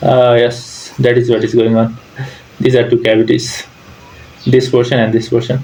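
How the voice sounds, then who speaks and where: A man speaks at a medium pitch in a flat, monotone way, with long, frequent pauses. Noticeable background noise sits behind him. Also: moderate pace, very even loudness. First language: not English. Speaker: civil engineer reacting to videos. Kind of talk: reaction commentary. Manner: hesitant, with fillers.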